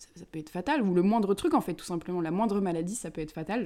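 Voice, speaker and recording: Talking at a very fast pace, a woman has a dark, mellow tone. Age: 20s. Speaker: podcast guest sharing grief experience. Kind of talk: personal testimony in casual chat.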